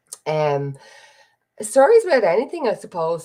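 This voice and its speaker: A woman speaks at a moderate pace in a fairly low, dark and mellow voice with a Dublin accent. The background is quiet. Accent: Dublin Irish. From Dublin, Ireland. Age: 30s. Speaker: podcast host. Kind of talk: casual livestream chat. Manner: rambling, chatty.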